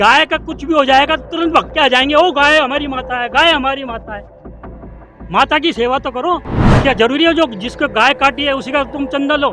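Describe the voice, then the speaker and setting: A man speaks in a raised, projected voice at an extremely high pitch. Noticeable background noise is present. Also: ordinary pitch variation, moderate pace. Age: 60s. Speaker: member of the public interviewed. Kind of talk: street interview, political opinion. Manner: animated.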